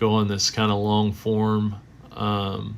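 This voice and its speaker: A man's fairly low-pitched voice. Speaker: sports card collector streamer. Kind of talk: live stream commentary. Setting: live stream. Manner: rambling, hesitant with fillers.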